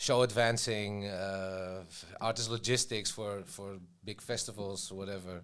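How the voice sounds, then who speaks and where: A fairly low-pitched man with fairly even intonation and a fairly slow pace. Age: 40s. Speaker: tour manager. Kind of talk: casual chat. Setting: studio. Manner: halting.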